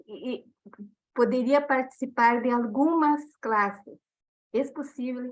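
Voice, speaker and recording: A woman's high-pitched voice with a Portuguese accent, very slow, with long, frequent pauses and fairly even intonation. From Brazil. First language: Portuguese (speaking Spanish). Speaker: teacher, audience participant. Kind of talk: question in Q&A. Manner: halting.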